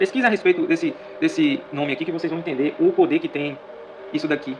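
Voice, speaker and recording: Noticeable background noise sits behind a man's voice. He talks at a fairly quick pace. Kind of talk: video monologue on Bible prophecy. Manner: repetitive, emphatic.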